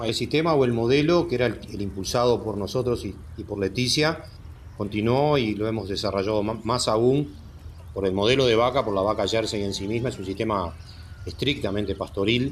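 This man speaks at a fairly quick pace in a medium pitch with ordinary pitch variation. His voice is somewhat breathy. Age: 60s. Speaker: dairy farm director. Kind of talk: interview.

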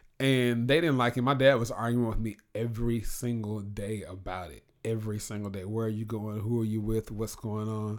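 A man with an ordinary speaking voice at medium pitch, moderate pace and fairly even intonation, with big swings in loudness, on a very clean recording with a silent background. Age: 30s. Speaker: blogger and radio host. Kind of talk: casual chat.

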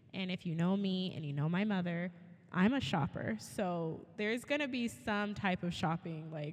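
At a moderate pace, a woman speaks in an unremarkable speaking voice, medium in pitch with lively intonation. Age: 30s. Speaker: kindergarten teacher and podcast co-host. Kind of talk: casual chat.

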